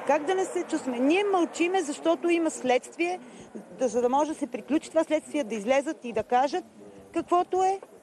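A woman's high-pitched voice at a moderate pace, dry with no echo, over light background noise. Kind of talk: interview answer. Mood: upset, indignant. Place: street.

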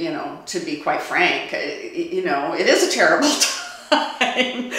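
Audible room echo surrounds a woman whose pitch swings very widely as she speaks at a moderate pace. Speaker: interviewee. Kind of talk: interview answer. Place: studio.

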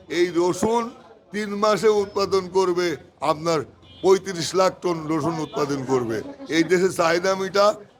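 A man talks with a high pitch and ordinary pitch variation. Noticeable background noise runs under his voice. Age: 60s. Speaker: onion wholesale trader. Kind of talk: interview. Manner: animated.

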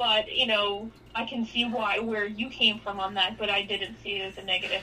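A woman with a New York accent speaks at a moderate pace in a medium pitch, her intonation flat and monotone. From New York City, the Bronx. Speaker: sports card industry veteran and former sports writer. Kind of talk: casual interview chat.

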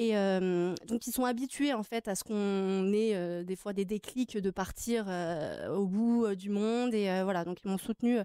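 A woman's dark, mellow tone with fairly even intonation, dry with no echo, against a quiet background. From France (Grenoble area), born in Tahiti. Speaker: adoptee sharing her story. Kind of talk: TV interview. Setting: TV studio. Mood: calm, reflective, personal. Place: studio. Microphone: studio mic.

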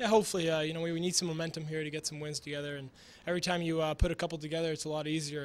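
A man talks at a very fast pace in a fairly high voice that barely moves in pitch.

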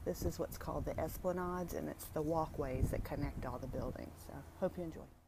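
Noticeable background noise surrounds the recording. A woman speaks at a fairly quick pace. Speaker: vlogger. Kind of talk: casual vlog chat. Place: street. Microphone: phone near.

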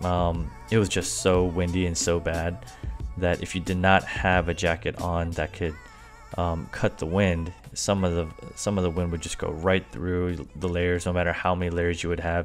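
Over faint background music, a man talks at a moderate pace in a very deep, low voice with fairly even intonation. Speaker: product reviewer. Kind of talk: product review voice-over.

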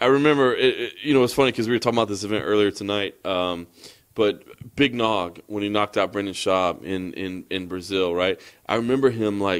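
A man with an American accent and a normal speaking voice talks fairly quickly at fairly low pitch, with ordinary pitch variation and a quiet background. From United States. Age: 40s. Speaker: MMA journalist. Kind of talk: casual chat. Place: home room. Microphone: handheld.

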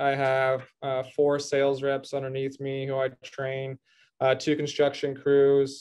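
The background is quiet while a man talks. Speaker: podcast guest. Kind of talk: interview answer. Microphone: video call.

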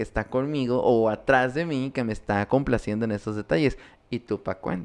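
A man with a Mexican accent talks at a moderate pace with ordinary pitch variation. The background is quiet. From Mexico. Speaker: podcast host. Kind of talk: casual chat. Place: home room. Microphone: studio mic.

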